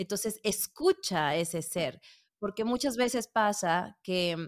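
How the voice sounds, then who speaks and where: Speaking at a fairly slow pace with ordinary pitch variation, a woman uses a plain, everyday voice on a very clean recording with a silent background and a dry, close sound with no echo. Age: 40s. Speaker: podcast producer. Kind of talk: interview.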